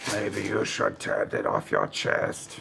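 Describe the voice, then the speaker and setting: A gravelly, put-on character voice from a man at a fairly slow pace, with clear background noise. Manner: raspy, sinister.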